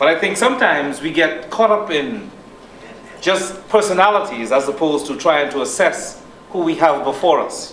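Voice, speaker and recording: Amid noticeable background noise and audible room echo, a man with a high pitch speaks at a moderate pace with lively intonation. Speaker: politician. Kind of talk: political speech. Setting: hall with audience and microphone.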